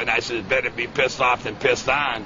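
A man with an American accent talks at a fairly quick pace. Noticeable background noise runs underneath. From Chicago. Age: 60s. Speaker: war veteran. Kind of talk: interview answer. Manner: excited, rambling.

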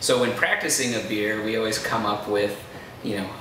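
Over noticeable background noise and audible room echo, a man speaks at a fairly low pitch and a moderate pace. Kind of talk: interview answer. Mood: amused, relaxed. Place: bar.

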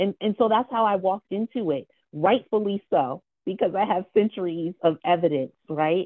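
The background stays quiet. Her speech, a woman's, keeps a moderate pace. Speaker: community organization co-founder; webinar panelist. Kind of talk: panel discussion. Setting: video call. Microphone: earbuds.

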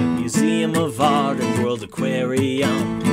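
A man talks at a very slow pace while loud background noise fills the recording. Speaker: singer-songwriter promoter. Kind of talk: town crier style promotional rhyming announcement; tourism and airline promotion read. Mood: upbeat, cheerful. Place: studio. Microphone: studio mic.

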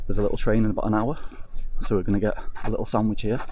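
A man's dry voice, no echo, with noticeable background noise. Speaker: travel vlogger. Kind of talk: casual vlog chat. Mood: cheerful, upbeat. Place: station. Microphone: phone near.

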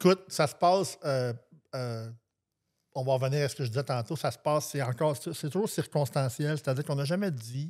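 On a very clean recording with a silent background, a man with a fairly high pitch uses a normal speaking voice with ordinary pitch variation. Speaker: singer-songwriter. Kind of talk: casual interview.

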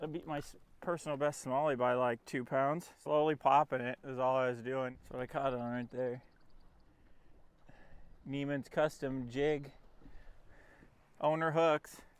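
Leaving long, frequent pauses, a man talks at a fairly slow pace in a monotone, flat intonation, with a dry sound and no echo. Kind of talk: casual vlog chat. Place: boat.

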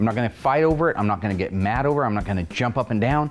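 Faint background music behind a male speaker. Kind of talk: casual commentary and workshop banter. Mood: joking, then mildly annoyed. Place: workshop.

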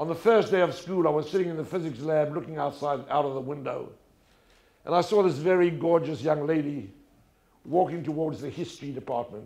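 Speaking fairly quickly with a South African accent, a man has a fairly high pitch, ordinary pitch variation and a dark, mellow tone. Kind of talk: talk before an audience. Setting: stage with audience. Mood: warm, humorous storytelling. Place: stage. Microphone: lapel.

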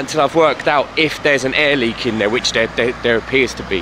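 The man's voice has a dry sound with no echo, and there is noticeable background noise. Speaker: motorcycle hobby vlogger. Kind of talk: casual vlog chat. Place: street. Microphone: phone near.

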